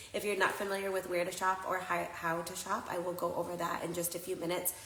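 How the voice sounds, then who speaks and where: With noticeable background noise and audible room echo, a woman talks very fast at a fairly low pitch. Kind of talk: live shopping stream chat. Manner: loud; casual, many fillers.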